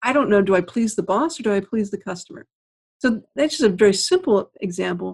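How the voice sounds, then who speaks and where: The voice comes at a fairly quick pace, somewhat breathy, with lively intonation. The recording is very clean, with a silent background. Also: woman. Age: 50s. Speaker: author. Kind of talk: interview.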